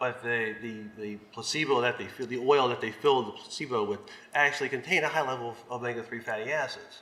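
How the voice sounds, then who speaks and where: Over noticeable background noise, the speech runs at a very fast pace with fairly even intonation. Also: man, medium pitch for a man. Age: 60s. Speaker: supplement testing researcher. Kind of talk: panel presentation. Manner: halting, many fillers.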